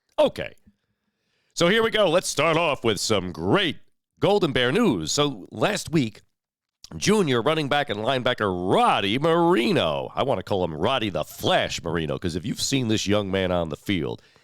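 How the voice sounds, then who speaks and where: A man's medium-pitched voice with vocal fry and very wide pitch swings, at a moderate pace, in a very clean recording with a silent background. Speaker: local news host. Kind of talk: community news show. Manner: conversational.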